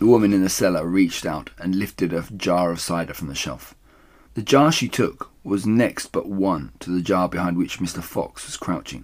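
A man's low-pitched voice at a moderate pace, with ordinary pitch variation

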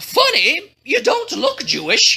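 In a put-on character voice, the speaker talks slowly with vocal fry, a bright, sharp tone and very wide pitch swings.

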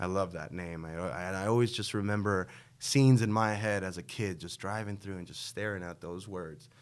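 With a New York accent, a man speaks at a fairly quick pace in a fairly low pitch, his loudness swinging widely while his pitch varies in an ordinary way, all on a very clean recording with a silent background. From Queens, New York City. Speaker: café co-founder and entrepreneur. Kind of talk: interview.

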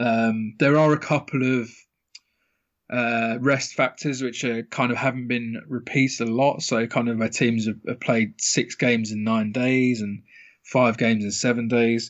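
In a British accent, a man talks at a fairly slow pace and medium pitch with monotone, flat intonation. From UK. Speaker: professional sports bettor. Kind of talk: casual interview.

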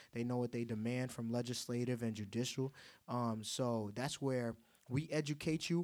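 A man with an American accent speaks at a moderate pace in a plain, everyday voice, at a medium pitch with ordinary pitch variation. The recording is very clean, with a silent background. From Haitian American. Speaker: podcast host. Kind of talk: casual chat.

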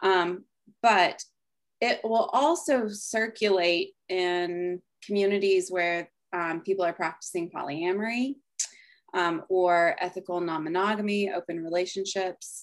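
In a very clean recording with a silent background, a woman speaks at a fairly slow pace. Hers is an ordinary speaking voice, medium in pitch with ordinary pitch variation. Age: 30s. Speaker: coach, former therapist. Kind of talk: casual chat.

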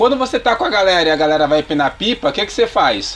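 A man with a high voice talks at a very fast pace. Noticeable background noise runs under the speech. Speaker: podcast guest. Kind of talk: casual chat.

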